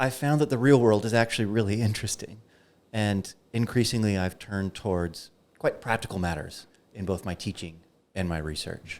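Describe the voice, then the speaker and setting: With an American accent, a man talks at a moderate pace with ordinary pitch variation on a very clean recording with a silent background. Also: fairly low pitch for a man. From United States. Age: 40s. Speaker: philosophy professor. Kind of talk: podcast interview. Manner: passionate.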